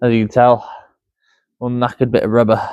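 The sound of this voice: A man talks fairly quickly at a medium pitch with little pitch movement. His tone is clear, smooth and slightly mellow, and the sound is dry and close with no echo.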